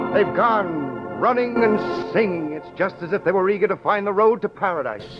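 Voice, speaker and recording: The speaker keeps a moderate pace and lively intonation while music plays in the background. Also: man. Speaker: roving announcer narrator. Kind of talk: 1940s radio drama narration.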